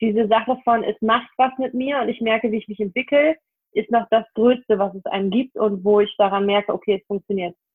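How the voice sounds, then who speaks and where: Here is a woman with an ordinary speaking voice. Her pitch is fairly high and her pace is moderate. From Hanover, northern Germany. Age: 20s. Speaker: self-employed photographer. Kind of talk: podcast interview.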